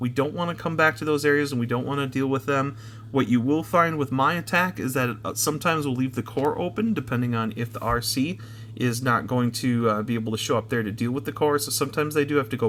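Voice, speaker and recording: A man talks at a very fast pace, his pitch medium with ordinary variation. Noticeable background noise runs under the recording. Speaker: gaming YouTuber. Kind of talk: gameplay commentary tutorial. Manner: filler-heavy, frequent um and uh.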